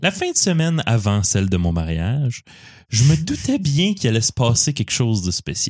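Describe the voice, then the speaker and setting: Somewhat breathy and in a Quebec accent, the voice moves at a moderate pace with very wide pitch swings, captured in a very clean recording with a silent background. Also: man. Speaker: podcast host. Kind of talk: casual chat.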